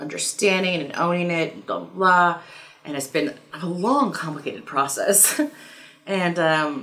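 The delivery is fairly slow, with big swings in loudness. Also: woman, ordinary pitch variation. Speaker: tarot reader vlogger. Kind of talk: casual vlog chat. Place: home room.

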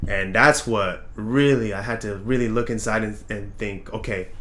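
A man talks at a moderate pace with a fairly bright tone.

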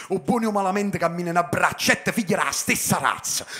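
Over a quiet background, a man speaks with a bright, sharp tone. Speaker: slam poet. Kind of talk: slam poetry performance in dialect. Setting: stage performance. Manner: rhythmic, impassioned, emphatic. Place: stage. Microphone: handheld.

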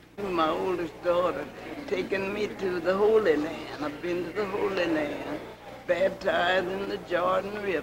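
Noticeable background noise runs under the recording. A woman speaks with an American accent at a fairly slow pace. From US Midwest, rural Kansas. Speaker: church and community elder. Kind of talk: interview. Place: church. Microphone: old recording.

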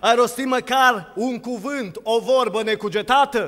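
The background is quiet as a man talks at a fairly slow pace. His pitch is extremely high, with ordinary pitch variation. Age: 20s. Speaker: preacher. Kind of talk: sermon. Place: church. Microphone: podium.

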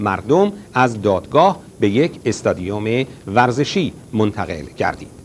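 Lively intonation from a man at a fairly slow pace, with light background noise. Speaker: news announcer. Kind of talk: news reading. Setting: studio. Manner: formal. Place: studio.

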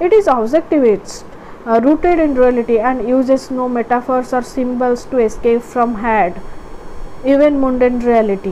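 Over noticeable background noise, a woman speaks at a moderate pace and high pitch with ordinary pitch variation. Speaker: educational video tutor. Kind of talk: lecture-style tutorial, with a short poem read aloud. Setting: online video, recorded solo. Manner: halting, with frequent fillers.

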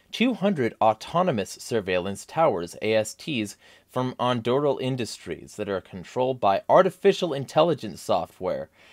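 Over a quiet background, a man speaks at a fairly slow pace, his pitch swinging very widely. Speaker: political vlogger. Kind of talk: commentary reading an article. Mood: angry, emphatic. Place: home room. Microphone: studio mic.

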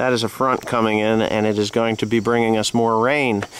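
Recorded dry with no echo and light background noise, a man speaks at a fairly slow pace. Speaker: farmer vlogger. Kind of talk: casual vlog chat. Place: farm machine. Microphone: phone near.

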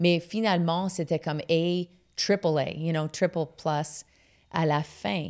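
Against a quiet background, a woman with an English accent speaks very slowly at a fairly low pitch. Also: fairly even intonation. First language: English (speaking French). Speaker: comedian; comedian guest. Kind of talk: casual interview chat. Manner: halting, frequent fillers and English code-switching. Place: studio. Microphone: studio mic.

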